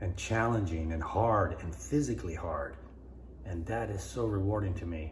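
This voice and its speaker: This man speaks at a moderate pace with lively intonation and some vocal fry. Room echo can be heard. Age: 60s. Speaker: vlogger. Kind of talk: casual vlog monologue. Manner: halting, repetitive.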